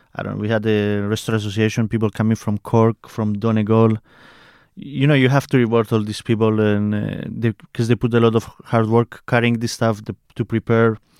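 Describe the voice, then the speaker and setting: Delivered fairly quickly in a flat monotone, the speech comes through a very clean recording, dry and close, with no echo and a silent background. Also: man, medium pitch for a man. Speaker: podcast host. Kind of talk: casual interview conversation.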